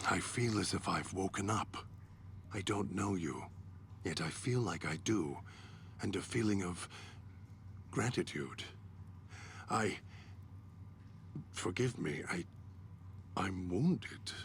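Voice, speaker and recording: A man uses a put-on character voice, pitched fairly low, at a fairly slow pace with long, frequent pauses. Clear background noise runs underneath. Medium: video game. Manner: articulate, measured.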